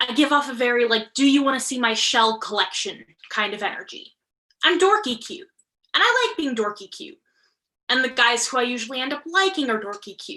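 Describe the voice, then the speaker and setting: A woman's raised, projected voice, high-pitched with a bright, sharp tone, lively intonation and big swings in loudness, at a fairly quick pace. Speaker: storyteller performer. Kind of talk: personal storytelling. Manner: fast.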